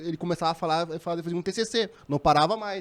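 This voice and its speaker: A man's high voice, fairly quick in pace, its pitch varying in an ordinary way. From southern Brazil. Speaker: podcast co-host. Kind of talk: casual chat.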